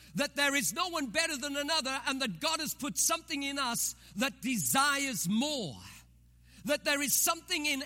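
A man speaks in a raised, projected voice with an extremely high pitch and a bright, sharp tone. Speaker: pastor. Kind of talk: sermon. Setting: church.

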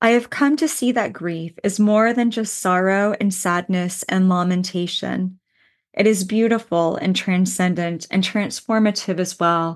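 Against a quiet background, a woman with an unremarkable speaking voice talks fairly slowly at a medium pitch, her pitch varying in an ordinary way. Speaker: podcast host and clinical psychologist. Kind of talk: poet reading her own grief writing aloud, spoken word; unscripted reflective talk mixed with readings. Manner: slow, cadenced and heartfelt, reflective; intimate and emotional, rhythmic list-like delivery.

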